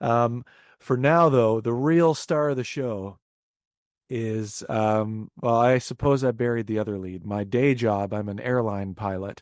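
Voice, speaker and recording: A man talks at a fairly slow pace in an ordinary speaking voice, medium in pitch with ordinary pitch variation, over a quiet background. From Canada, Windsor, Ontario. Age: 30s. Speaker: indie rock musician. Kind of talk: casual interview chat.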